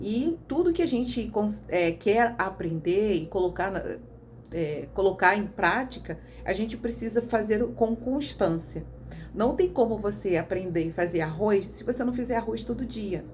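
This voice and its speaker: Noticeable background noise sits behind a woman's voice. She speaks at a medium pitch and a fairly slow pace. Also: lively intonation. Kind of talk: casual vlog monologue. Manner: halting.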